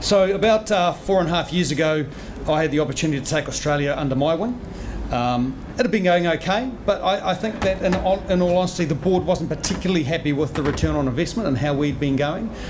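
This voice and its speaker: A man with a New Zealand accent, fairly high-pitched and very fast, with ordinary pitch variation over noticeable background noise. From New Zealand, rural. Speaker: company general manager; presenter. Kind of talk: seminar presentation. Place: hall. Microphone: podium.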